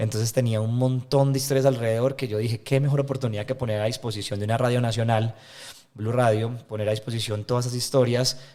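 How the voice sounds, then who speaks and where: Very fast male speech in a flat monotone, medium in pitch with a dark, mellow tone. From Colombia, Medellín. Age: 20s. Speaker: environmental NGO leader. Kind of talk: interview conversation.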